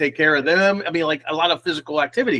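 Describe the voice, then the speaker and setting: Loud and animated, a man's voice comes through with a dry, close sound and no echo. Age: 50s. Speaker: recruiter and live show host. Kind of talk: live stream casual chat.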